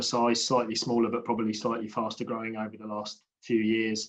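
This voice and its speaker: This British-accented man's voice sits at a medium pitch. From UK. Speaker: infrastructure industry panelist. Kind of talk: panel discussion.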